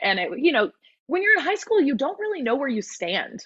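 The speaker is a woman with an American accent. Her voice moves in very wide pitch swings. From Southern California. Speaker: musical theatre actress and vocal coach. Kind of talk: casual chat. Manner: animated.

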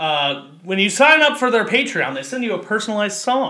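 A man's raised, projected voice, high-pitched with very wide pitch swings, over noticeable background noise. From Kentucky. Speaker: podcast host. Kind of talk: casual chat.

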